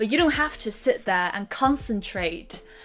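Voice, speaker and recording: With a British accent, a woman is talking. She keeps a moderate pace. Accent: British, changed from American. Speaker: language learning vlogger. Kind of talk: tutorial.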